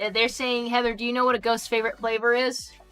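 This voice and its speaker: Music plays behind a woman speaking. Her pitch is fairly high and her pace fairly quick. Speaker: streamer reading chat. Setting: livestream.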